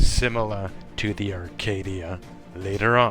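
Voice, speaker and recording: A man's fairly low voice at a very slow pace, with ordinary pitch variation and music in the background. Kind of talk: story recap and opinion narration. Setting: cheap gaming headset microphone. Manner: slow at times.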